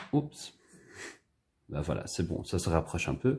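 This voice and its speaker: In a relaxed tone and a Dutch accent, a man talks at a fairly slow pace and fairly low pitch, his pitch swinging very widely. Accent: Dutch-speaker French, self-noted imperfect. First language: Dutch (speaking French). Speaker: illustrator leading drawing workshop. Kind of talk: tutorial. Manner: casual, relaxed.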